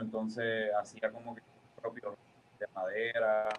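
Noticeable background noise surrounds a man speaking at medium pitch. He talks at a fairly slow pace. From Puerto Rico. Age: 30s. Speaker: professional wrestler. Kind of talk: interview. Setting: video call.

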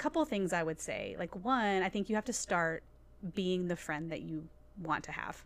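Speaking with an American accent, a woman talks at a moderate pace. Her pitch is medium, and her intonation is lively. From Nashville, Tennessee. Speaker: church staff member and nonprofit leader. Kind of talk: casual chat. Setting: studio.

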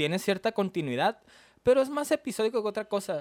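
Speaking with a Mexican accent, a man makes very wide pitch swings in a very clean recording with a silent background and a dry, close sound with no echo. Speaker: anime podcast co-host. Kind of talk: casual chat.

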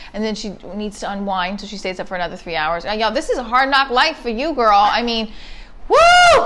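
A woman with a New Jersey accent speaks at a fairly high pitch and a fairly quick pace, in an animated tone. Her intonation is lively, and noticeable background noise runs underneath. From New Jersey, inner city. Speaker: comedian. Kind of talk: casual chat.

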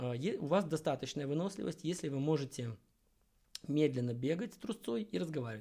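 This man's voice sits fairly high in pitch, somewhat breathy, with a dark, mellow tone and lively intonation. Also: moderate pace. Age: 30s. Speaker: podcast host and amateur endurance athlete. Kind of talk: solo podcast monologue on fitness. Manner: casual, with filler hesitations.

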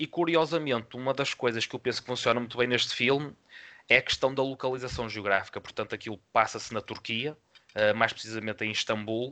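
In a dry, close sound with no echo, a man speaks at a fairly quick pace with a bright, sharp tone, medium pitch and ordinary pitch variation. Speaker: film podcast co-host. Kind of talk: casual film review discussion.

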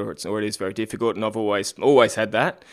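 A man with an Australian accent speaks at a very fast pace. His fairly low voice stays monotone and flat. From Australia, Queensland (Caboolture). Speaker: Ironman triathlete. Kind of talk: casual interview.

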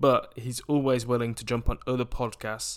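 On a very clean recording with a silent background, a man speaks with an English Midlands accent. His voice is medium in pitch and monotone, with flat intonation. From England, Coventry area. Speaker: podcast host. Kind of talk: interview podcast hosting.

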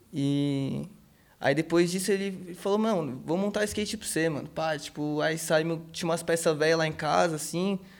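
In an ordinary speaking voice, a man talks at a moderate pace with a fairly high pitch. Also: fairly even intonation. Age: 20s. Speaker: skateboarder. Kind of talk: interview. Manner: casual slangy speech.

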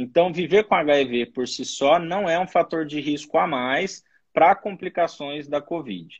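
Ordinary pitch variation in an unremarkable speaking voice, delivered at a fairly slow pace. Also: man, fairly high pitch for a man. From São Paulo, Brazil. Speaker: infectious disease doctor. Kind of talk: expert interview.

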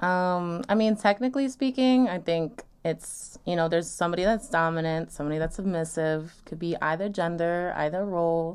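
A woman with an American accent has an unremarkable speaking voice and a fairly low pitch. She speaks at a moderate pace with ordinary pitch variation and hardly any pauses. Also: very clean recording, silent background. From New York, Long Island. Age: 20s. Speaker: podcast guest on sex and dating. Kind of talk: casual chat.

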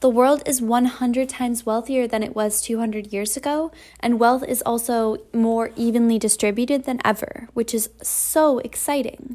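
A dark, mellow tone carries fairly even intonation at a moderate pace, with hardly any pauses. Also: woman, fairly high pitch for a woman. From Vermont, New England. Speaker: podcast host and intern. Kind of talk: scripted monologue. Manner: frequent fillers (um, you know).

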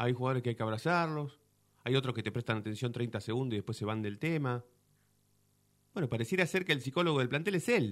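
A man speaks at a very fast pace with lively intonation. He leaves long, frequent pauses. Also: medium pitch for a man. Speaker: football fan commentator. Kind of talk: casual chat.

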